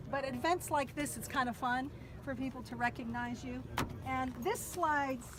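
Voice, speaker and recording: An animated woman with an American accent at a moderate pace, amid noticeable background noise. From Pennsylvania, near Pittsburgh. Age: 60s. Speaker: car dweller, traveling saleswoman. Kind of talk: casual show-and-tell tour.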